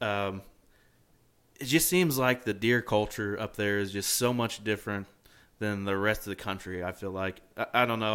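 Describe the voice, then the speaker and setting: A man with an American accent speaks in a plain, everyday voice at a fairly quick pace, with ordinary pitch variation. The recording is very clean, with a silent background. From Indiana. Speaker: podcast host. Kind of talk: casual chat. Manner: casual, down-to-earth.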